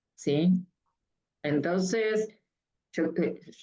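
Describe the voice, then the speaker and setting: A woman at a very slow pace, her intonation fairly even. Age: 60s. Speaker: mental health professional. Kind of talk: talk. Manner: uses filler 'eh' and repeated '¿sí?'.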